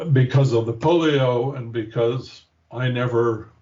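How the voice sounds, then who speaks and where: At a very slow pace, a man with a somewhat breathy, medium-pitched voice keeps his intonation fairly even. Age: 70s. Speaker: therapy patient. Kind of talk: interview testimony. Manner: halting.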